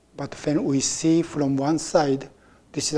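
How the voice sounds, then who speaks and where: The speaker has a Japanese accent. The pace is fairly slow. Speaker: Zen teacher. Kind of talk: dharma talk. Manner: halting.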